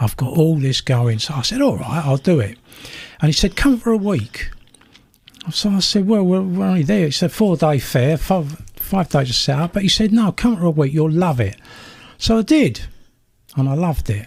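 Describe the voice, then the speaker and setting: Pitched fairly high, this man's voice swings through very wide changes in pitch. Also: moderate pace. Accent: South London. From South London. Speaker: retired teacher and campaigner. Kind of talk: radio interview. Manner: animated.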